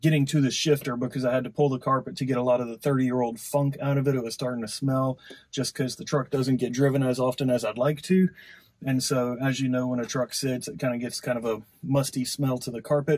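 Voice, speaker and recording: Somewhat breathy, a man rushes along at a very fast pace with fairly even intonation. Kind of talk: tutorial. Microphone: camera far.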